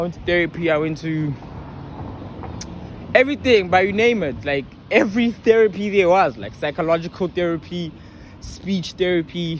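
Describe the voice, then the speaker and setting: The speaker is a man with a high voice. He uses lively intonation. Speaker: YouTuber. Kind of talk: casual vlog monologue. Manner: halting.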